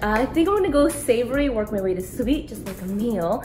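Music plays behind a woman who talks at a moderate pace. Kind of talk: casual vlog chat. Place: home room. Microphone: phone near.

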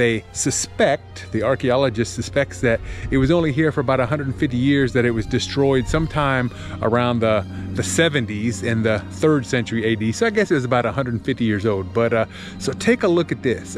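Clear music plays in the background as a man talks at a moderate pace with ordinary pitch variation, the sound dry with no echo. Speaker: walking vlogger. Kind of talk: casual vlog chat. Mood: enthusiastic. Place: forest. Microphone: phone near.

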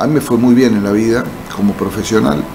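A man with an Argentine accent speaks at a fairly quick pace. His intonation stays fairly even over light background noise. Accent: Rioplatense Argentine Spanish. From Argentina, Buenos Aires province. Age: 60s. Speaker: politician, former mayor and doctor; politician, former mayor. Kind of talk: interview. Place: studio. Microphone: studio mic.

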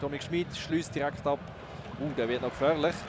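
This man's tone is animated. Noticeable background noise runs underneath. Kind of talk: live sports commentary over match footage. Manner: fast, animated play-by-play.

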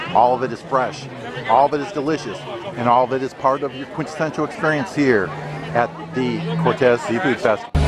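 Over clear music in the background, a man speaks at a fairly quick pace with ordinary pitch variation, the sound dry with no echo. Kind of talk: casual vlog chat. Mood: upbeat, enthusiastic. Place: market. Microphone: phone near.

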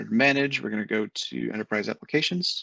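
Using lively intonation, a man speaks at a fairly low pitch with a fairly bright tone and vocal fry.

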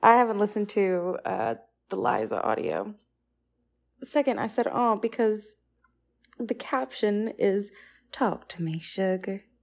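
A woman with a Southern US accent speaks at a fairly slow pace with long, frequent pauses. The recording is very clean with a silent background. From US South. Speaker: audio reaction commentator. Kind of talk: casual chat. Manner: animated.

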